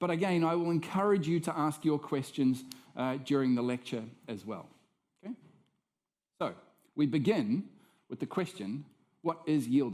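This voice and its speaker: Talking at a moderate pace with a New Zealand accent, a man uses a fairly high pitch and lively intonation, with long, frequent pauses. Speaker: professor. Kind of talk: lecture.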